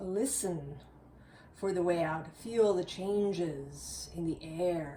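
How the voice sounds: Putting on a character voice, a woman speaks very slowly at a fairly low pitch, breathy and hissing, with ordinary pitch variation.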